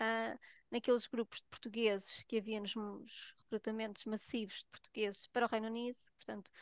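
A normal speaking voice at a moderate pace, dry and close with no echo, over a quiet background. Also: woman. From Portugal. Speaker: nurse and health researcher. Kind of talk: casual chat.

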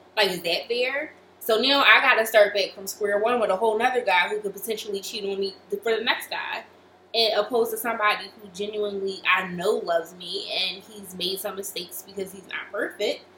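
A woman at medium pitch talks at a fairly quick pace with fairly even intonation and big swings in loudness, over noticeable background noise. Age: 20s. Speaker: podcast co-host. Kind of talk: casual chat.

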